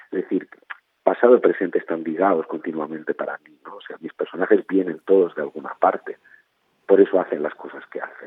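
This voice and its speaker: Loudness swings widely as he talks. The man keeps a fairly quick pace. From Spain, Barcelona. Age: 50s. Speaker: novelist. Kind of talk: interview.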